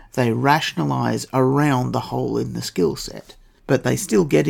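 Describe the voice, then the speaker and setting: A man with an Australian accent, moderately paced. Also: very clean recording, silent background. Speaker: podcast host. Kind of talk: scripted narration.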